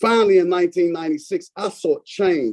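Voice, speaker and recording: In an American accent, a man talks at a moderate pace with a high pitch, a dark, mellow tone and lively intonation, the sound dry and close with no echo. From Washington DC. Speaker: public witness, former group home employee. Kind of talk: prepared testimony.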